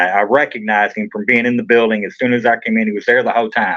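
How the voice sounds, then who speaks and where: Here a man talks with a Kentucky accent. His pace is fairly quick. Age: 40s. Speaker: trial defendant. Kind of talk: interview testimony.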